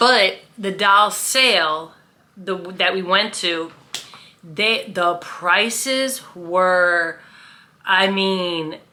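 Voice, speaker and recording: A woman speaks at a medium pitch and a very slow pace. Room echo is audible. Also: ordinary pitch variation. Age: 50s. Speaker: vlogger. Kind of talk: casual vlog storytelling. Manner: loud; chatty, with fillers.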